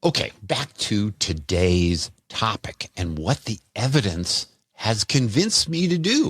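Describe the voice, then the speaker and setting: This man talks at a very slow pace with hardly any pauses, his fairly low voice somewhat breathy and making very wide pitch swings, in a dry, close sound with no echo. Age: 60s. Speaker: physician health podcaster. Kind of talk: health podcast monologue.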